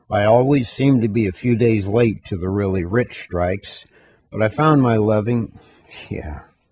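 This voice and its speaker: Fairly low male speech with ordinary pitch variation at a moderate pace, a plain, everyday voice in a dry sound with no echo. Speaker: voice actor. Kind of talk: casual talk in recording session. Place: booth.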